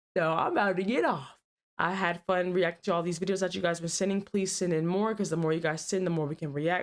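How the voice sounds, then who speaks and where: A woman does a put-on character voice, quiet and raspy, at a very fast pace. Her pitch is medium and her intonation fairly even. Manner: speaking low, quiet.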